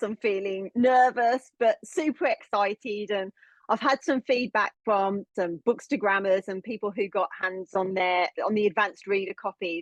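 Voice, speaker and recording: Hardly any pauses, a strong Birmingham accent, and a dry, close sound with no echo. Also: woman, fairly high pitch for a woman, ordinary pitch variation, moderate pace. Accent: Birmingham (Brummie) English, still strong. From England, Birmingham. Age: 40s. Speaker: novelist. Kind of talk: podcast interview. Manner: animated.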